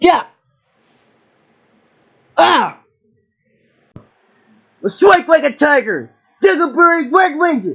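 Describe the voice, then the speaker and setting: A man puts on a character voice at an extremely high pitch. He speaks at a fairly slow pace with long, frequent pauses. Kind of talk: battle cries and morph calls. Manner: shouted, energetic.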